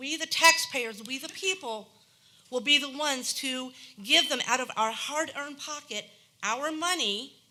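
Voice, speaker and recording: A woman's raised, projected voice, high in pitch, at a moderate pace with ordinary pitch variation. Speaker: resident speaking at public hearing. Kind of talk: public comment at council meeting. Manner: animated.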